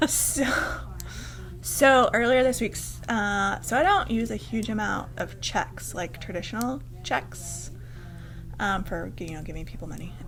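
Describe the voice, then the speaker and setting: With music in the background and audible room echo, a woman speaks at a fairly slow pace with long, frequent pauses and big swings in loudness. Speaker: podcast host, yarn shop owner. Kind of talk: casual chat. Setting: yarn shop. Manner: animated.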